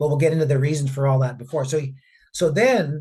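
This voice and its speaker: Somewhat breathy male voice, fairly high in pitch, with fairly even intonation. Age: 60s. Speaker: mining company executive. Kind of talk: interview. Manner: repeats words, halting restarts.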